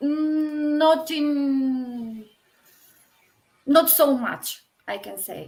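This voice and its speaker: A woman speaks with a Macedonian accent at a very slow pace and a high pitch. Her pitch variation is ordinary, and she takes long, frequent pauses. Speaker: poet. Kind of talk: interview. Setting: online live stream. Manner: hesitant.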